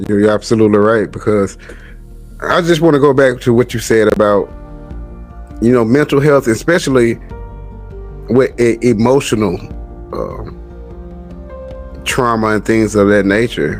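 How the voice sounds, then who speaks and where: Music plays in the background. A man speaks with long, frequent pauses. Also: medium pitch for a man, ordinary pitch variation, moderate pace. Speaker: podcast host. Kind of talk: podcast interview host talk. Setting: studio.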